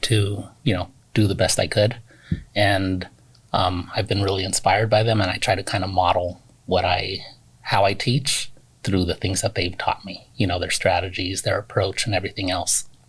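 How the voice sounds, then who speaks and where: A man talks with a Spanish accent. His intonation stays fairly even. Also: fairly low pitch for a man, moderate pace. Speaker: teacher. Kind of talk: interview.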